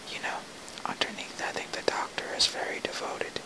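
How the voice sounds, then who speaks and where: Whispered words from a woman amid noticeable background noise. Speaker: amateur ASMR whisper reader. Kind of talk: whispered play reading, relaxation. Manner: whispered, soft.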